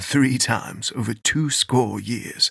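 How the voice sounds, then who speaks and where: The voice is a put-on character. Its delivery is fairly slow. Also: man, dry, close sound with no echo. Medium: read story. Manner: brisk, folksy.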